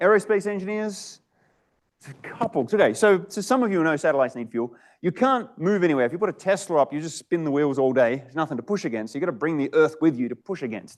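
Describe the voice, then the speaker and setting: Against a quiet background, a man with an Australian accent rattles along at a very fast pace with a high pitch and lively intonation. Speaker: startup founder and CEO. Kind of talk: startup pitch talk to a live audience. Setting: event with live audience. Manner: casual, conversational.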